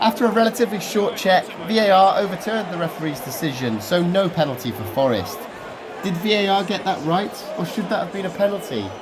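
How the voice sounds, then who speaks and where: The speaker talks at a fairly quick pace with an English Midlands accent. Background noise is noticeable. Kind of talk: football matchday vlog voiceover.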